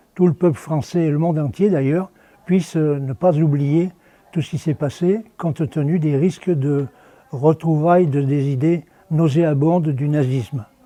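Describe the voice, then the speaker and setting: A man speaks at a fairly slow pace in a fairly high voice with a dark, mellow tone and ordinary pitch variation. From France, Drôme (Romans). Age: 90s. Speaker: retired schoolteacher, wartime witness. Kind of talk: testimony. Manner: halting, with repetitions and hesitations.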